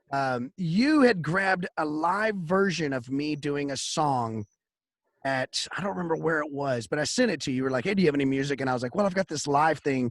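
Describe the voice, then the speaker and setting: With a Texas accent, a man speaks at a fairly high pitch. His intonation is lively. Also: fairly quick pace. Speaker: podcast host and singer-songwriter. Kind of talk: casual chat.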